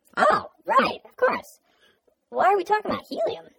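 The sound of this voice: An extremely high, squeaky put-on character voice comes through. It moves at a moderate pace.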